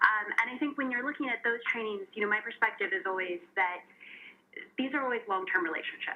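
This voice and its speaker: A woman's lively intonation amid noticeable background noise. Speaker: legal tech executive and panelist. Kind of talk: panel discussion.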